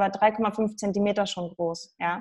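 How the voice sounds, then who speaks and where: Music plays in the background. A woman talks in a monotone with flat intonation. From Saxony, eastern Germany. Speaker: nutrition coach. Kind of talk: interview. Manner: halting.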